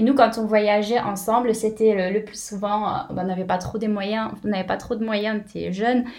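Over noticeable background noise, a woman with a fairly high pitch talks at a moderate pace in a flat monotone, with hardly any pauses. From southern France, near Béziers. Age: 20s. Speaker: travelling mother, former optician shop owner. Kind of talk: casual interview.

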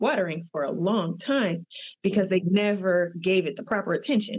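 A woman speaks at a moderate pace, somewhat breathy. The sound is dry and close, with no echo. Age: 40s. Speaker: therapist. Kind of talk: casual chat.

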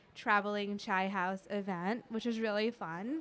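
Here a woman speaks in an ordinary speaking voice at a medium pitch. Her American accent comes with fairly even intonation and a moderate pace. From US, Indian American family. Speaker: podcast host. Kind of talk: casual chat. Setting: studio.

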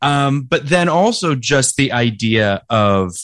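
A man is speaking. The background is quiet. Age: 40s. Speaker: podcast co-host. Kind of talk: casual chat. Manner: halting.

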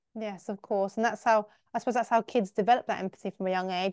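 In an English accent, a woman talks very fast at a medium pitch, in a dry, close sound with no echo and over a quiet background. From England. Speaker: teacher and podcast host. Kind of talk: interview.

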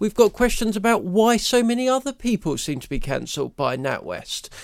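Speaking with a British accent, a man moves at a moderate pace with very wide pitch swings. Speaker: commentator. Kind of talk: angry rant, indignant tirade against bank and cancel culture. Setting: studio. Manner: indignant, emphatic, scornful.

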